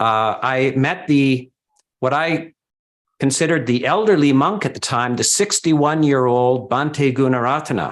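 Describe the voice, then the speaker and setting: A man's fairly high voice with ordinary pitch variation, a moderate pace, and very even loudness. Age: 60s. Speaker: Buddhist monk. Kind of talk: speech at book launch. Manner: halting.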